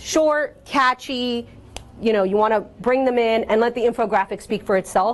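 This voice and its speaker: A woman talks with a fairly high pitch. Her pitch variation is ordinary. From Cuban-American background. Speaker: workshop presenter on communications. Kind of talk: presentation to an audience. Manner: fast; casual, many fillers.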